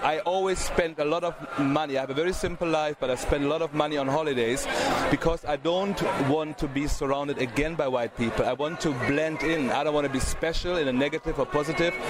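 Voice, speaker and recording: Very fast delivery with very even loudness, fairly even intonation, and noticeable background noise. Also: man, fairly high pitch for a man. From Germany. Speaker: charity director. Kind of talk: interview. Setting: outdoor event, noisy.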